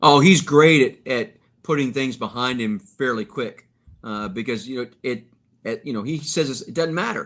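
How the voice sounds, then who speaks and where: A man with an unremarkable speaking voice talks at a moderate pace and medium pitch, his intonation lively and his loudness swinging widely. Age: 60s. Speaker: sports play-by-play broadcaster. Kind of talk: casual podcast interview.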